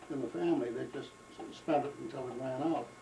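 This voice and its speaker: Amid noticeable background noise and audible room echo, a man speaks at medium pitch. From Maine, Portland. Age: 80s+. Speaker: antiquarian book dealer. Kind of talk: oral history interview. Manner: halting, with frequent hesitations.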